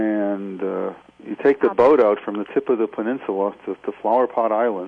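Noticeable background noise sits under this recording. A man speaks at a moderate pace, fairly low in pitch, with fairly even intonation. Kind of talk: radio interview. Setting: phone call.

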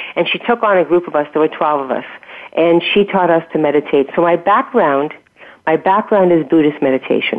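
A woman speaks in a normal speaking voice, her pitch fairly low. The pace is fairly quick, with ordinary pitch variation. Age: 60s. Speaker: health and wellness coach. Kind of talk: interview. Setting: radio show.

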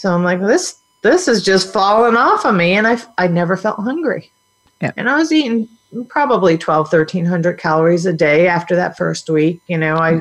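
A woman with an ordinary speaking voice at medium pitch, moderate pace and lively intonation. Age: 50s. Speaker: health coach. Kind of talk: interview.

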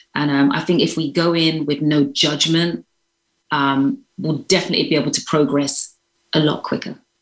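A woman's very deep, low voice in a London accent, monotone and flat, at a moderate pace and very even loudness. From London, England. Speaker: vegan chef. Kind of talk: interview.

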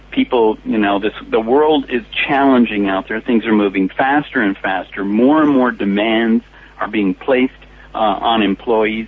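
Noticeable background noise sits behind a man speaking with a General American accent. His pitch is medium, with ordinary variation, and his pace is moderate. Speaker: speakers bureau founder.

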